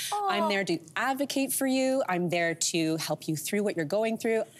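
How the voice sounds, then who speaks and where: A woman talks at a fairly quick pace. Her pitch swings very widely. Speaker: guest. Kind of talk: interview answer. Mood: warm, candid, sometimes sad. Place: studio. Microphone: lapel.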